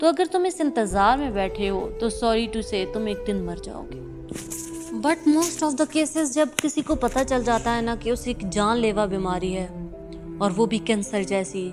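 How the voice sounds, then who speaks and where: Music sits in the background as a woman speaks with very wide pitch swings. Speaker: YouTube channel host. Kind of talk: motivational spoken-word talk. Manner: earnest, direct address to listener.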